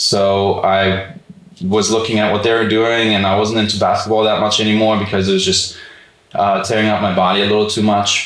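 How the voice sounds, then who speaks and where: In a room with audible echo, a man with a German accent talks in a fairly low pitch and a monotone, flat intonation. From Germany, Frankfurt. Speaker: physical therapist and podcast co-host. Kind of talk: casual chat. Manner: many fillers, casual.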